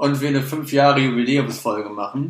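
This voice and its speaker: A man talks at a fairly high pitch. Room echo is audible. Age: 20s. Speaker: podcast co-host. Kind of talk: casual chat. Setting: studio.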